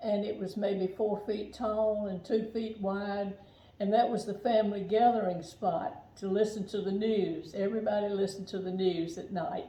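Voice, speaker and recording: Noticeable background noise runs under the clip. A woman speaks at a medium pitch and moderate pace with fairly even intonation. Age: 80s+. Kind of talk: interview answer.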